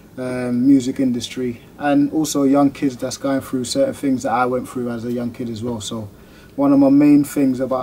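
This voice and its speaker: A man talks at a moderate pace in a monotone, flat intonation over light background noise. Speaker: new channel host. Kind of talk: casual vlog chat. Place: studio.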